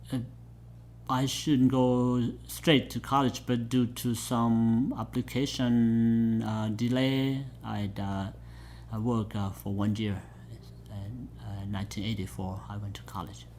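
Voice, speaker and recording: A man with a Southeast Asian accent talks at a very slow pace. Room echo is audible. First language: Hmong. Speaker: pastor. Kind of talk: oral history interview. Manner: halting, many fillers.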